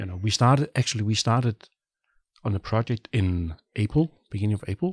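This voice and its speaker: At a fairly quick pace, a man with a Danish accent speaks in a fairly low, somewhat breathy voice. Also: dry, close sound with no echo, very clean recording, silent background. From Denmark. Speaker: product manager. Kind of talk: casual interview. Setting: listening room.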